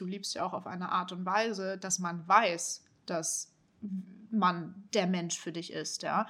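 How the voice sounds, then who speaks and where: A woman speaks at a moderate pace in a medium pitch with fairly even intonation and an ordinary speaking voice. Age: 20s. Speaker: podcast co-host. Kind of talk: casual chat.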